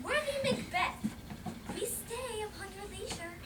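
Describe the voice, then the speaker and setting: Someone puts on a character voice at a moderate pace. Loud background noise sits behind it. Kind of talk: school Shakespeare staging. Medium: stage play. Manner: formal, measured.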